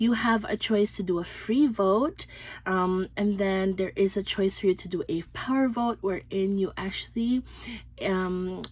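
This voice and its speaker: With a slight Filipino accent, a woman speaks at a medium pitch and a fairly slow pace, her intonation fairly even. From Philippines. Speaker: beauty and fragrance YouTuber. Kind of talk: product review vlog. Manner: casual, hesitant with frequent ums.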